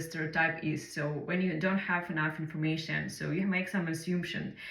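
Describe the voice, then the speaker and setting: A woman with a Ukrainian accent speaks at a fairly low pitch, with audible room echo and noticeable background noise. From Ukraine. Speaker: English learner sharing personal story. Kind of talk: personal monologue. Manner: halting, many fillers.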